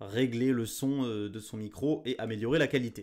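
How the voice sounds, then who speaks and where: On a very clean recording with a silent background, a man talks at a moderate pace with a medium pitch. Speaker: weather forecaster youtuber. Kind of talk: weather briefing monologue. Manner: loud.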